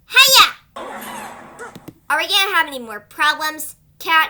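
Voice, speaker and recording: A put-on character voice, high-pitched, at a fairly slow pace. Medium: dub. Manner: dramatic, intense.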